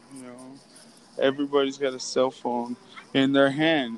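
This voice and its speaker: A man with a plain, everyday voice speaks at a moderate pace, his pitch fairly high and his intonation fairly even. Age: 30s. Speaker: podcast host. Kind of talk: casual chat. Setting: phone call; walking through a store.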